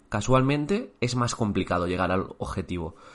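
In an ordinary speaking voice at medium pitch, a man talks at a moderate pace with lively intonation against a quiet background. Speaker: teacher and exam coach. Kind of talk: motivational talk.

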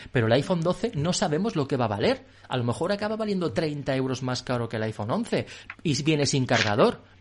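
Somewhat breathy and fairly high in pitch, a man's voice makes very wide pitch swings. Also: fairly quick pace. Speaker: podcast host. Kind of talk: casual chat. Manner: animated.

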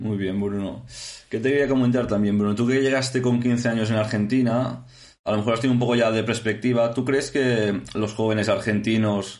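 A man with a Spanish accent at medium pitch, monotone, flat intonation and very even loudness, moderate pace, audible room echo. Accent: Peninsular Spanish. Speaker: podcast host. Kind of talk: casual interview.

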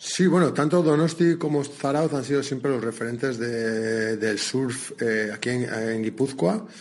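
A man's normal speaking voice at medium pitch, with lively intonation, a fairly slow pace and hardly any pauses. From Basque Country. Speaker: surf school instructor. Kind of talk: interview. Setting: outdoors at the beach.

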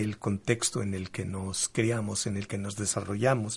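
A man's somewhat breathy voice. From Mexico, Veracruz. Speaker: sex therapist and educator. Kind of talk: radio interview.

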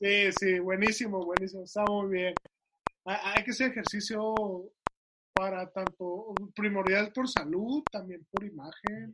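Using a raised, projected voice, a man speaks at a fairly slow pace in a high pitch with fairly even intonation. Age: 20s. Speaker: podcast host. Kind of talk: casual interview chat.

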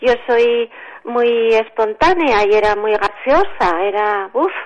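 The intonation rises and falls in a lively way. It belongs to a woman with a high pitch. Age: 60s. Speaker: writer. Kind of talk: radio interview.

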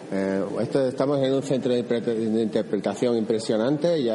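A man's medium-pitched voice at a moderate pace with ordinary pitch variation, over noticeable background noise. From Extremadura, Spain. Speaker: radio host. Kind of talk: travel radio report. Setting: on location.

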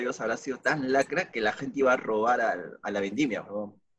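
A man talks at a very fast pace. He has a Peruvian accent. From Peru, Tarma. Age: 20s. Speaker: podcast host. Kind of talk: casual chat.

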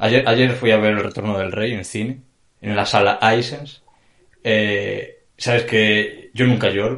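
A man speaking at a very slow pace, in a monotone with flat intonation. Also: medium pitch for a man. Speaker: podcast co-host. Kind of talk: casual chat.

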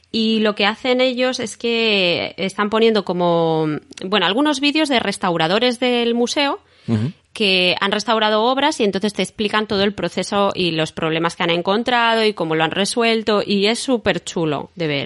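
A woman speaks in an unremarkable speaking voice at a fairly high pitch, with lively intonation and a moderate pace. Her loudness stays very even, and the background is quiet. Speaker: podcast host and artist. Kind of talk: casual interview chat.

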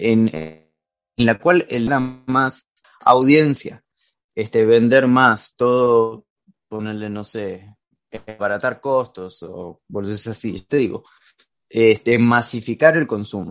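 In a quiet background, a man talks very slowly at a medium pitch, with long, frequent pauses, big swings in loudness and ordinary pitch variation. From Argentina. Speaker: podcast guest presenting a philosophy topic. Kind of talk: casual chat. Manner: halting.

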